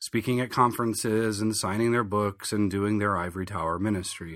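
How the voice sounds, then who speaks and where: In an American accent, a man with a plain, everyday voice speaks at a fairly low pitch and a fairly quick pace. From southern Michigan. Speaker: pastor and podcast host. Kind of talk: monologue commentary.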